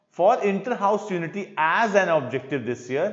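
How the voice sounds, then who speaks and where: A man's high-pitched voice carries lively intonation against audible room echo. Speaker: English teacher. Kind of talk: lecture. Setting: live online class. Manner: slow.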